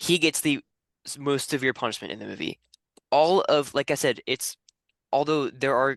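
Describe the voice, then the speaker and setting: A man at a moderate pace, dry and close with no echo, against a quiet background. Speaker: film podcast host. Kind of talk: casual debate.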